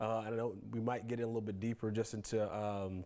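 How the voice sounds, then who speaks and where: A man in a normal speaking voice talks at a fairly quick pace with a fairly low pitch and fairly even intonation. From Texas, Waco. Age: 30s. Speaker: community leader. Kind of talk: interview. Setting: studio.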